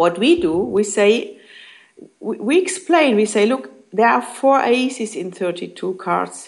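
A woman talks at a very slow pace in a fairly high pitch, her voice swinging very widely in pitch and catching on vocal fry. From Germany. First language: German. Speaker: network marketing leader. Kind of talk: interview. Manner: halting.

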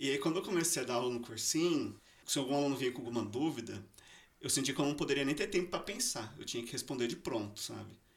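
This man talks at a very fast pace with lively intonation. His pitch is fairly high. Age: 30s. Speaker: engineer. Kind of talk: casual chat.

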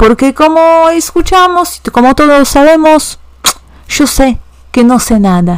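At a very slow pace, a woman speaks in a high voice with lively intonation and very even loudness. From Poland, Warsaw. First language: Polish (speaking Spanish). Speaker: language teacher. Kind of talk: educational podcast monologue.

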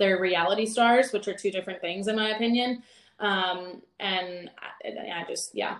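With an American accent, a woman talks at a moderate pace in an unremarkable speaking voice, her medium pitch carried on fairly even intonation. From North Carolina. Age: 20s. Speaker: fitness coach. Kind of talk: casual chat.

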